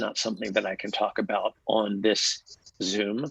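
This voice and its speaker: Soft-spoken and at a fairly slow pace, a man talks in a dry, close sound with no echo. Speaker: TV series creator. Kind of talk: casual chat. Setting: video call. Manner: halting.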